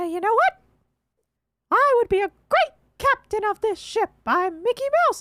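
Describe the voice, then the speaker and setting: A woman uses a put-on character voice at extremely high pitch. She moves at a moderate pace with long, frequent pauses. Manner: playful.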